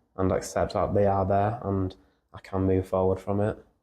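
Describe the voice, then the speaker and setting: This man speaks with a Yorkshire accent in a dark, mellow tone at a fairly low pitch. His pace is moderate and the background is quiet. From Yorkshire, England. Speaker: musician in a band. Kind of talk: podcast interview. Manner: halting.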